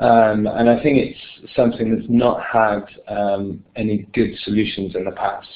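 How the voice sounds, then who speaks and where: With a British accent, a man speaks fairly slowly at a fairly low pitch with monotone, flat intonation. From United Kingdom. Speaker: software company presenter. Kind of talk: webinar product presentation. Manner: hesitant, many filler words.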